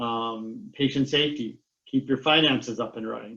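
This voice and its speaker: A man talks at a moderate pace in a normal speaking voice. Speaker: cybersecurity consultant. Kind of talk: webinar presentation.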